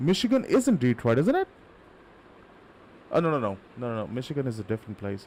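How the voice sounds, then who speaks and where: A man talks with an Indian accent. His pitch swings very widely. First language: not English. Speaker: gaming streamer. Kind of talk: live gameplay stream chat.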